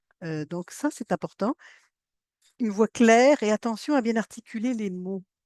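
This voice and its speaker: Her medium-pitched voice has lively intonation. The woman's recording sounds dry and close with no echo, against a quiet background. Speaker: science communication trainer. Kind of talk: workshop training. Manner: fast; animated.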